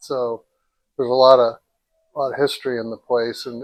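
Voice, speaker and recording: A man with an American accent talks at a moderate pace in monotone, flat intonation. The sound is dry and close with no echo. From US Midwest, central Ohio. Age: 60s. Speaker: restaurant owner. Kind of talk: interview. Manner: halting, repeats words.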